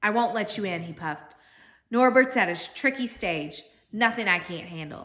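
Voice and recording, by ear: Reading aloud in a natural voice, intonation lively throughout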